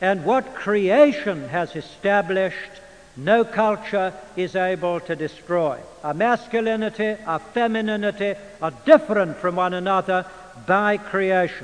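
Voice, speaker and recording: Fairly slow, high-pitched speech from a man with an English accent, over noticeable background noise. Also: ordinary pitch variation. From England. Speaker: preacher and Bible teacher. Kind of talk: lecture. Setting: church. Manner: formal.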